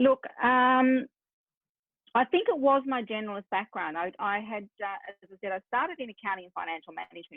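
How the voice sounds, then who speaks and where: With an Australian accent, a woman talks at a fairly quick pace. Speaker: business strategist. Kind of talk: podcast interview.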